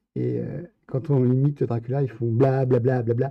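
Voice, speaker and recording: This man's voice has a somewhat breathy quality. He talks at a fairly slow pace. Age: 50s. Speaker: live streamer. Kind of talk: casual chat. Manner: hesitant.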